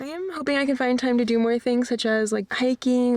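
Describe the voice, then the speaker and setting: A woman talks at a fairly quick pace while noticeable background noise carries on behind her. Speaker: van life vlogger. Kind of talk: vlog narration and casual talk.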